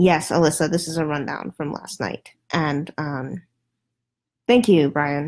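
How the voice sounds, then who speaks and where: Soft-spoken, a woman talks at a fairly slow pace with a very deep, low pitch, ordinary pitch variation, and long, frequent pauses. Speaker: political commentator livestreamer. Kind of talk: casual livestream commentary. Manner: hesitant, many fillers.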